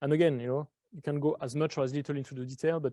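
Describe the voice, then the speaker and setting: A man with a French accent, dark and mellow in tone, at a fairly quick pace with fairly even intonation, in a dry, close sound with no echo. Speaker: real estate sales trainer.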